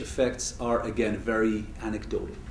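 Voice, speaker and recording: A man talks at a moderate pace. Audible room echo surrounds his voice. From Switzerland. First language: not English. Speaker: economist, university lecturer. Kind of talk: lecture.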